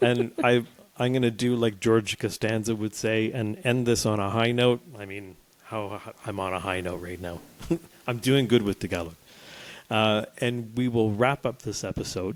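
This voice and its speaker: Here is a man with a plain, everyday voice and a Canadian accent, speaking at a moderate pace. His medium pitch carries fairly even intonation, while his loudness swings widely. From Canada. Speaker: podcast co-host. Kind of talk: casual chat.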